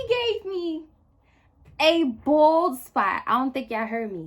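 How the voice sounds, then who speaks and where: A woman speaks in a raised, projected voice at an extremely high pitch, bright and sharp in tone. Her delivery is animated, with very wide pitch swings. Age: 20s. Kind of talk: storytime talk to camera. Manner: casual, animated, slangy.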